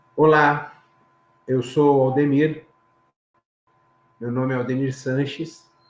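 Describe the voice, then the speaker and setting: A man's fairly high voice with a São Paulo accent, very slow and flat, broken by long, frequent pauses. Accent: Paulistano Brazilian Portuguese. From Brazil, São Paulo city. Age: 60s. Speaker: engineer and safety trainer, interview guest. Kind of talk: personal testimony.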